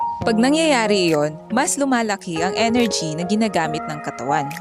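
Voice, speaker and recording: A woman talks at a moderate pace and medium pitch. Her voice makes very wide pitch swings over music in the background. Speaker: student. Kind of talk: scripted health infomercial.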